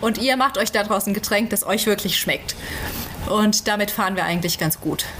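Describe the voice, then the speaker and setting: A woman at a medium pitch and moderate pace, fairly even in intonation, amid noticeable background noise. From Germany, central Hesse. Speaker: Bible translation worker. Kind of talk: interview. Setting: remote call from home.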